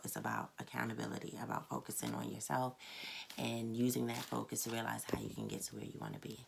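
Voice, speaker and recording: Soft-spoken and fairly quick, the voice comes through with noticeable background noise. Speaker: tarot reader. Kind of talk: tarot reading monologue. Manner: casual, hesitant with many fillers.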